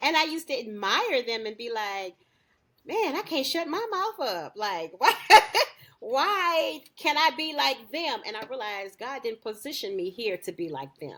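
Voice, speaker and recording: A woman's high, raised, projected voice at a moderate pace, with very wide pitch swings. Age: 40s. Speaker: podcast host. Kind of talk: casual chat. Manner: outspoken, loud.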